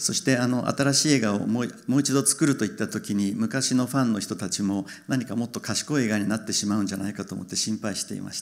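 Against a quiet background, a man talks at a very fast pace with hardly any pauses and ordinary pitch variation. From Japan. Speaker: film director; guest. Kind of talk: Q&A with interpreter. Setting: stage with audience. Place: stage. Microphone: handheld.

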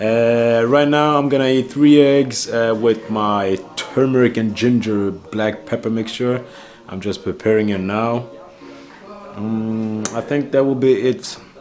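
Faint music plays in the background while a man speaks fairly slowly. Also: ordinary pitch variation. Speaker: vlogger. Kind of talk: casual vlog chat. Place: kitchen. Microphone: phone near.

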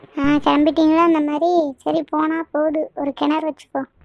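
In a cartoonish character voice, a female-sounding speaker talks high-pitched and squeaky at a fairly slow pace. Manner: scolding, teasing.

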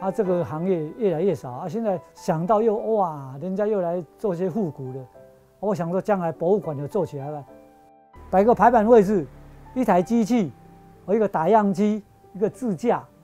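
Over faint music in the background, a man speaks at a moderate pace with a high pitch. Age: 70s. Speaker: typesetter. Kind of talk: interview answer. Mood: calm, upbeat.

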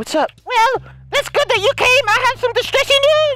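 A put-on character voice at an extremely high pitch. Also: moderate pace. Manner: improvised made-up voice.

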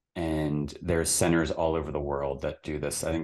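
A man with a very deep, low pitch, fairly even intonation and a moderate pace. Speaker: podcast guest. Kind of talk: interview answer. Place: home room. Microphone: studio mic.

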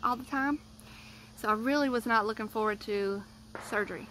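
A woman's bright, sharp voice, dry with no echo, over light background noise. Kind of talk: casual vlog chat. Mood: earnest, vulnerable storytelling. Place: garden. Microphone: phone near.

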